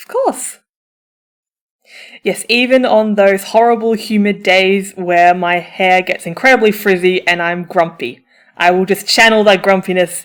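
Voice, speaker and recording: A woman at medium pitch, speaking at a fairly slow pace with ordinary pitch variation. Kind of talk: audio roleplay, comfort for listener. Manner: upbeat, emphatic.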